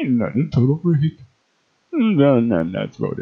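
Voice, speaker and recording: A man speaks here. He uses a cartoonish character voice. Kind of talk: comic overacting.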